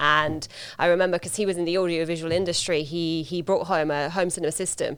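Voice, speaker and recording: The speaker has a slight Hungarian accent and a fairly quick pace. Intonation stays fairly even. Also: woman. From Hungary. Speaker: solution consultant. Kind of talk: casual chat.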